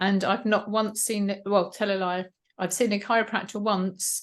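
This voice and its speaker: A woman of medium pitch talks in an English accent. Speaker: health mentor. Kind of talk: interview.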